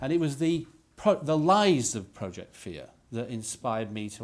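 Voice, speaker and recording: With a Yorkshire accent, a man speaks at a moderate pace. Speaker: politician, former business leader. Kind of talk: press conference speech. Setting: press conference.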